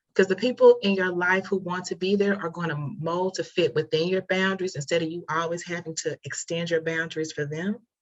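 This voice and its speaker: A woman talks at a fairly quick pace with hardly any pauses. Her fairly low pitch carries fairly even intonation. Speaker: therapist. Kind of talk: casual chat. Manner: fast.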